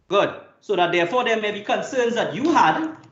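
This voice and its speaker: There is audible room echo around the voice. A man speaks with lively intonation. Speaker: lawyer cross-examining a witness. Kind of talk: cross-examination at a hearing.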